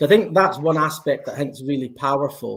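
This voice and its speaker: A man with a Scottish accent. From Scotland. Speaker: blockchain company representative. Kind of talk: conference panel interview.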